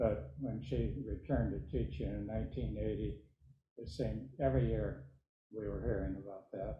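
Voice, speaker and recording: A man's very deep, low-pitched voice with very wide pitch swings and vocal fry. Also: moderate pace. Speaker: congregation member. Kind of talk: audience question. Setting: church. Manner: halting.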